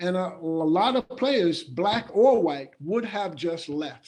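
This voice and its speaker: A man's high-pitched voice with lively intonation. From USA. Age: 60s. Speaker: retired basketball player, author. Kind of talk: webinar interview.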